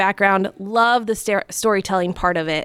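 A woman in a Midwestern American accent at a moderate pace, the sound dry and close with no echo. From Northwest Indiana. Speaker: communications director. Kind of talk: interview. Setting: recorded on location.

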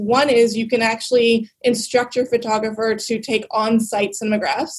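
A somewhat breathy woman with a Canadian accent, fairly high-pitched, at a fairly quick pace. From Toronto, Canada. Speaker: tech company guest, documentary filmmaker. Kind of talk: casual interview chat. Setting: video call.

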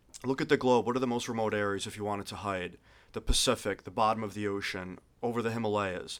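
A man's booming voice sits at a fairly low pitch. He speaks at a very fast pace. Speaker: alien enthusiast guest. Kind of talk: casual interview chat.

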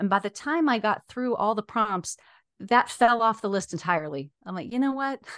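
A woman with a normal speaking voice, fairly high pitch and lively intonation, at a moderate pace, in a dry, close sound with no echo over a quiet background. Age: middle-aged. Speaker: podcast host and blogger. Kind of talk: casual chat.

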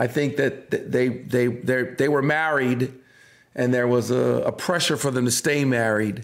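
At a medium pitch and a fairly slow pace, a man speaks with fairly even intonation and very even loudness. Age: 50s. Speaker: pastor. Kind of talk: casual chat. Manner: halting.

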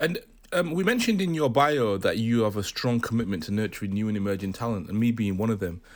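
Lively intonation marks this man's speech. He talks at a very fast pace in a medium pitch. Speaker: podcast host and writer-director. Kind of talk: casual interview.

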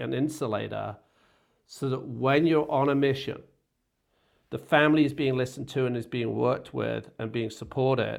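In an English accent, a man with a medium pitch talks at a fairly quick pace with fairly even intonation. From England. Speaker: search and rescue family liaison officer. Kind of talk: casual chat.

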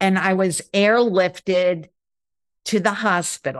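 Speaking at a very slow pace in an Upstate New York accent, a woman with a medium pitch is heard in a dry, close sound with no echo against a quiet background. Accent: Upstate New York American. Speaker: resilience researcher and author. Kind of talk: interview.

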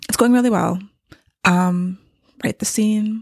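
The sound is dry and close, with no echo. A woman speaks in a somewhat breathy voice at a moderate pace with fairly even intonation. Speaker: fiction author and podcast host. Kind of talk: casual solo podcast monologue.

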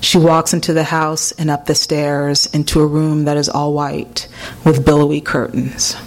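A woman with an American accent speaks at a moderate pace in a very deep, low voice with monotone, flat intonation, amid noticeable background noise. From Los Angeles, California. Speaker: author. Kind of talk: reading aloud. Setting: bookstore event with live audience.

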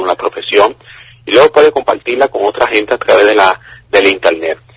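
There is noticeable background noise behind a man whose sound is dry and close, with no echo. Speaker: finance professor. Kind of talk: interview answers. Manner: halting, repeats words.

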